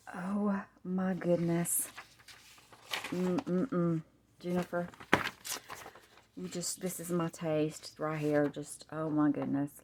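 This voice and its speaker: Speaking with an American accent over noticeable background noise, a woman goes at a very slow pace with long, frequent pauses and ordinary pitch variation. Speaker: crafter. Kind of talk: product showcase. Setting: at home on camera. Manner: animated.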